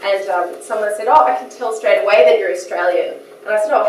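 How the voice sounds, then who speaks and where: A woman is talking. Audible room echo and noticeable background noise surround her voice. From Australia. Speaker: professor, keynote speaker. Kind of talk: keynote lecture. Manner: friendly, animated.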